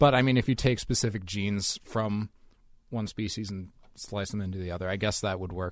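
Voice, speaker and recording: A man's fairly low, fairly evenly intoned voice comes through a very clean recording with a silent background. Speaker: podcast co-host, science commentator. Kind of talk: casual podcast chat.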